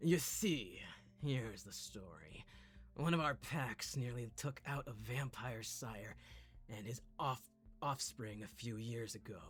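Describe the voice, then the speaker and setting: A put-on character voice, low, raspy and rumbling, moves at a fairly slow pace. Background noise is clearly heard. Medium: game stream. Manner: calm, friendly, polite.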